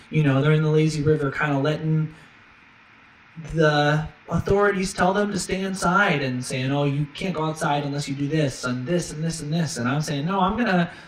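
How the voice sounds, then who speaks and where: Against noticeable background noise, a man talks at a fairly quick pace in a fairly high pitch with ordinary pitch variation. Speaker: streamer and musician. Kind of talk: casual live stream monologue. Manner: fast.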